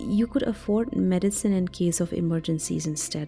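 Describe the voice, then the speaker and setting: Music plays in the background while a woman talks at a moderate pace. Her medium pitch makes very wide swings. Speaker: podcast host. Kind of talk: motivational self-help podcast talk. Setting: home recording. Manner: sleepy.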